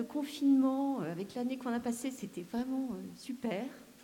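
A woman's high-pitched voice at a moderate pace, with ordinary pitch variation and audible room echo. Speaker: audience member. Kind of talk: audience question. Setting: stage with audience.

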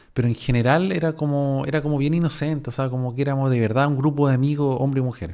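With a Chilean accent, a man with a fairly high pitch talks at a very fast pace. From Chile, Valparaíso region. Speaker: podcaster. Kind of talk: casual storytelling monologue.

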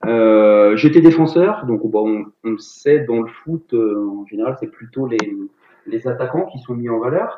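A man talks at a very slow pace with medium pitch and ordinary pitch variation. His loudness swings widely. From Paris region and Rennes area, Brittany. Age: 40s. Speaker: sports teacher and CrossFit athlete. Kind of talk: casual interview. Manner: halting, many fillers.

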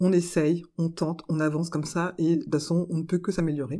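A woman speaks fairly quickly in a very deep, low voice with a dark, mellow tone. The recording is very clean, with a silent background. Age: 40s. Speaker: podcaster and civil servant. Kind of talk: interview monologue. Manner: halting with frequent hesitations.

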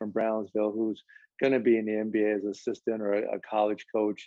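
A man speaks with a normal speaking voice and an American accent. His pitch is fairly low and his pace moderate. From Nebraska. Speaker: basketball coach. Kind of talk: interview.

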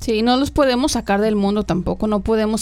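Her intonation fairly even, a woman uses an ordinary speaking voice at a medium pitch. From Mexico, rural Tamaulipas. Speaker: podcast co-host. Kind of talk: casual chat.

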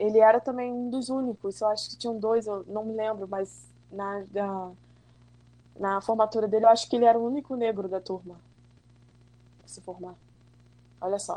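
Fairly high in pitch with a dark, mellow tone, a woman speaks at a moderate pace with fairly even intonation, big swings in loudness and long, frequent pauses. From Brazil, Rio de Janeiro state (Macaé). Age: 30s. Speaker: schoolteacher. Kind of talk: casual interview.

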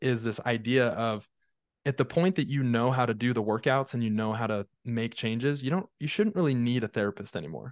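In an American accent, a man with a plain, everyday voice speaks at a fairly quick pace and medium pitch with ordinary pitch variation, in a dry, close sound with no echo and a quiet background. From Utah, US. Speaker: mental fitness coach. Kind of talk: casual interview.

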